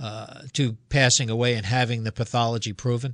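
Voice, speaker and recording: A man talks in a normal speaking voice at medium pitch. His pace is moderate, and the background is quiet. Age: 60s. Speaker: radio host and physician. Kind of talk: radio talk show interview. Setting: radio studio.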